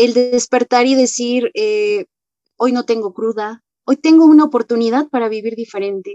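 A woman speaks at a high pitch in a dark, mellow tone. The sound is dry and close, without echo. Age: 20s. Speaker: AA member. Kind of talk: testimony.

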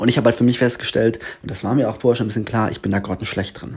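With a somewhat breathy quality, a man's voice carries a dark, mellow tone. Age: 20s. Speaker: podcast host and teacher. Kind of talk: casual solo podcast monologue. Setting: indoors in a sister's apartment.

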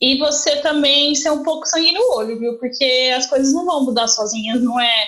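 This woman's voice sits high, with ordinary pitch variation and very even loudness. She keeps a moderate pace and hardly pauses at all. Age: 30s. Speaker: journalist. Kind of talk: casual chat. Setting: video call.

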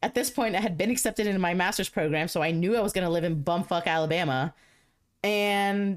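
On a very clean recording with a silent background, a woman speaks at a medium pitch with lively intonation and an animated tone. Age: 20s. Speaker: podcast host. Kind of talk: casual chat. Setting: home.

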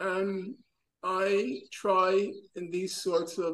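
This is a man speaking. His pitch is high. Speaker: teacher leading a reading class. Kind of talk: online seminar discussion. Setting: video call. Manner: animated.

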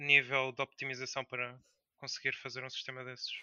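A man talks at a fairly quick pace. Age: 20s. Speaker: indie game developer. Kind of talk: interview.

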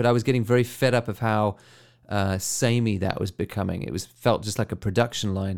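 In a very clean recording with a silent background, a man with a plain, everyday voice speaks at a fairly quick pace, his fairly low pitch carrying fairly even intonation. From South Africa. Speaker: photographer and video creator. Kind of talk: recorded answers to interview questions. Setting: recorded voice message.

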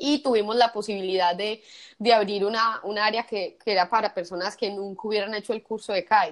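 Talking at a fairly quick pace, a woman with a Colombian Paisa accent keeps a fairly high pitch and fairly even intonation. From Colombia, Medellín. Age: 30s. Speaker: kitesurf tour operator. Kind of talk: interview, personal testimony.

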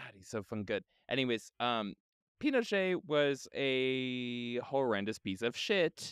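On a very clean recording with a silent background and a dry, close sound with no echo, a man talks very slowly with lively intonation. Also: medium pitch for a man, big swings in loudness. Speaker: podcast co-host. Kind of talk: casual chat. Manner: stutters when excited.

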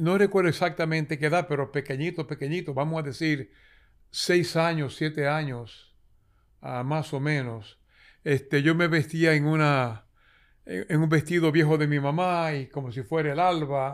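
A man with a Dominican accent speaks at a moderate pace in a fairly high pitch with ordinary pitch variation, on a very clean recording with a silent background. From Dominican Republic, San Juan de la Maguana. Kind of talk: interview storytelling.

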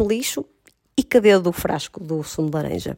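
With vocal fry and ordinary pitch variation, the voice sounds dry and close with no echo. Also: woman. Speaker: podcast co-host. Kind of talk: casual chat. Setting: at home on the sofa.

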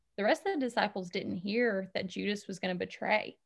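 Moving at a moderate speed, a woman talks in a Southern US accent. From Alabama, Huntsville. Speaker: school social worker. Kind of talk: casual interview chat.

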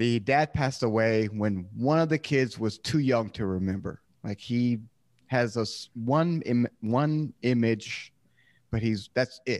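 Over a quiet background, an unremarkable speaking voice moves at a fairly slow pace with ordinary pitch variation. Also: man, medium pitch for a man. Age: 30s. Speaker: podcaster. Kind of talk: casual chat.

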